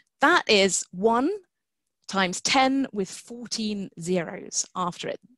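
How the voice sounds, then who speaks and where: Against a quiet background, a woman's medium-pitched voice carries lively intonation in a dry sound with no echo. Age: 40s. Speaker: science writer and geneticist. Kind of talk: webinar talk. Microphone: webcam.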